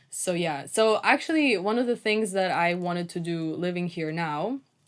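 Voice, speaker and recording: Speaking with a Russian accent, a woman with a fairly low pitch keeps a moderate pace. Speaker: podcast co-host. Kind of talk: casual chat. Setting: outdoor table at a cafe.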